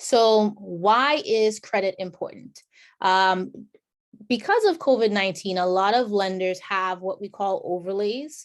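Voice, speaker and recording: A woman with an unremarkable speaking voice talks at a fairly slow pace, her pitch medium with ordinary variation. The recording is very clean, with a silent background. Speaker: homebuyer program presenter. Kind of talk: informational presentation.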